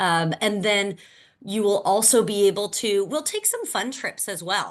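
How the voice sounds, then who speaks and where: Speaking with an American accent, a woman holds a medium pitch. Her pitch varies in an ordinary way over a quiet background. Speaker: program coordinator presenting a fellowship. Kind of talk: informational webinar presentation. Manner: fast.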